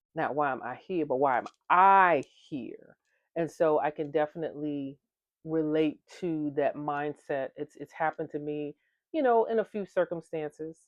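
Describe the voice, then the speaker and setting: Very deep and low for a woman, her voice moves at a moderate pace with ordinary pitch variation. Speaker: engineer and vlogger. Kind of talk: motivational talk. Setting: different location with people around. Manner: projected, not too loud.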